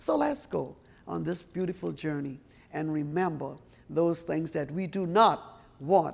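A woman speaks at a fairly slow pace with an American accent. Her pitch is very deep and low, with vocal fry and ordinary pitch variation. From South Carolina. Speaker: storyteller. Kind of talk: guided art tour talk. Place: hall.

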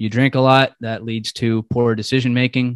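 With an American accent, a man speaks against a quiet background in a dry sound with no echo. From Southern California and Charlotte, North Carolina; Southern California. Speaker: goal-setting coach. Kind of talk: casual interview chat. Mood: warm, grateful. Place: home room. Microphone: headset.

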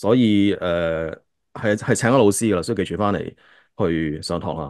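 Over a quiet background, a man with a fairly low pitch talks at a moderate pace in a dry sound with no echo. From Hong Kong. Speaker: podcast host. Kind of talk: casual chat. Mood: relaxed, laughing. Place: home room. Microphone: video call.

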